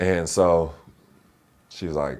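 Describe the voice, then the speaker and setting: With an American accent, a man talks using vocal fry. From Inland Empire, Southern California. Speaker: actor and former basketball player. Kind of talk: interview conversation. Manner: casual, halting with fillers.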